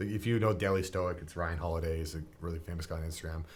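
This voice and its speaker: Speaking very fast in a Canadian accent, a man with a very deep, low pitch is heard amid audible room echo. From Niagara region, Ontario, Canada. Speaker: gym owner and personal trainer. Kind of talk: casual interview chat. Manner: loud.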